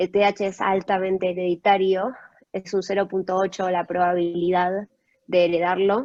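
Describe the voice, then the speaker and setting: At a moderate pace, a woman speaks at a medium pitch in a monotone, flat intonation, with dry, close sound and no echo. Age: 20s. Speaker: guest speaker sharing personal experience. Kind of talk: testimony.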